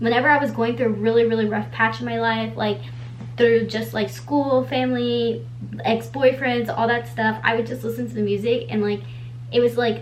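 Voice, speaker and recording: Audible room echo and noticeable background noise surround a woman's speech. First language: Spanish. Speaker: beauty vlogger. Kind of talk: casual chat. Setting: bedroom.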